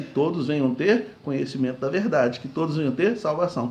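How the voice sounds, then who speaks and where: The voice moves at a very fast pace, somewhat breathy, with ordinary pitch variation and audible room echo. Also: man. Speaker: pastor. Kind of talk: sermon.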